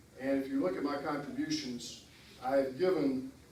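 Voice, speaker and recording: A man with a South Carolina accent speaks at a fairly high pitch with ordinary pitch variation. The room echo is audible, and there is noticeable background noise. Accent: Southern US (South Carolina). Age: 60s. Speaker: political candidate. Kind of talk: Q&A at a political meeting. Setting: meeting hall with audience.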